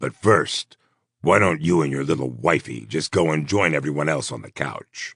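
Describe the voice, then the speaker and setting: In a put-on character voice, a man growls with a raspy, very deep, low pitch, recorded with a dry, close sound and no echo. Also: moderate pace, big swings in loudness. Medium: read story. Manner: menacing, sneering, slow and deliberate.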